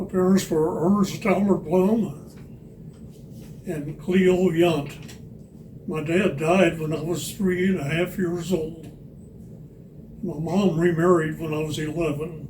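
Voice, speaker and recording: A man with an American accent speaks at a high pitch and a very slow pace, with fairly even intonation. Long, frequent pauses break up his speech amid audible room echo. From Missouri. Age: 90s. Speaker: longtime resident, Air Force veteran. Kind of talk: oral history interview.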